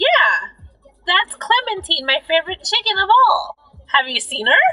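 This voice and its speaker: A woman's put-on character voice at a moderate pace over faint music in the background. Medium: solo performance. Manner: melodramatic.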